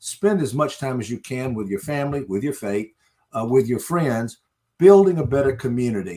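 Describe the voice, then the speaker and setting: Here a man speaks at a very fast pace. His intonation is lively. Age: 70s. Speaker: networking author and businessman. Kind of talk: interview. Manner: hesitant fillers.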